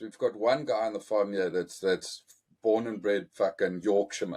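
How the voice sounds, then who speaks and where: A man with a strong South African accent at a moderate pace. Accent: strong South African, rolled Rs. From central South Africa (Karoo), Afrikaans area. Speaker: podcast host. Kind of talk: casual chat. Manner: rolls his Rs.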